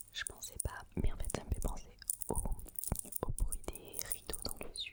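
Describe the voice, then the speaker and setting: A woman whispers while noticeable background noise fills the recording. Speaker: ASMR creator. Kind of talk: ASMR whisper talk to camera. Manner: whispered, soft, relaxing.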